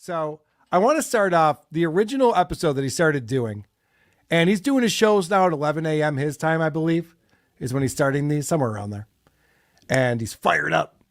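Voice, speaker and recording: In a very clean recording with a silent background, a man with a plain, everyday voice talks at a fairly quick pace, with fairly high pitch and lively intonation. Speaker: podcast commentator. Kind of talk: podcast commentary on clips. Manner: casual, conversational.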